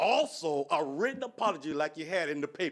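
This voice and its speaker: This man talks at a moderate pace with a fairly high pitch. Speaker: resident speaking at public comment. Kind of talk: public comment at city meeting. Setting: city commission meeting. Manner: loud.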